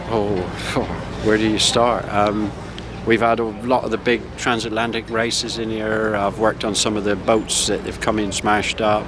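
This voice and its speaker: Over noticeable background noise, a man with a West Country accent speaks at a moderate pace with a fairly low pitch and monotone, flat intonation. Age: 60s. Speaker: retired boat builder. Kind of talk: casual interview. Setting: outdoors at harbour boat rally. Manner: hesitant, many fillers.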